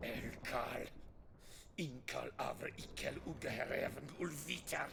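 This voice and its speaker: This is a put-on character voice at a fairly slow pace. Clear background noise can be heard. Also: man. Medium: video game. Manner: harsh, angry.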